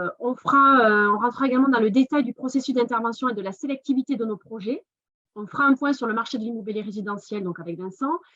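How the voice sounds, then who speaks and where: This woman speaks at a very fast pace, her pitch fairly high. Her pitch varies in an ordinary way. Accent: southern French. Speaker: investment fund business developer. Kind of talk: webinar presentation.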